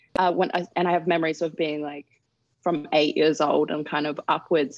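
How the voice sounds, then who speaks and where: A woman with an Australian accent speaks at a moderate pace in a very deep, low pitch. The sound is dry and close with no echo, over a quiet background. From Darwin, Northern Territory, Australia. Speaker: model and activist. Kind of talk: interview.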